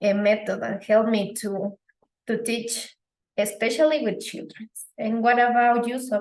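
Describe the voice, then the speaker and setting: A woman speaks with a Spanish accent. Her pitch is fairly high and her intonation fairly even. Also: moderate pace. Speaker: English teacher. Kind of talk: interview.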